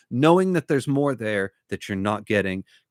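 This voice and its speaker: In a dry, close sound with no echo, a man's pitch swings very widely. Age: 40s. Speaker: book YouTuber. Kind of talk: casual livestream Q&A. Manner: stammering, rambling.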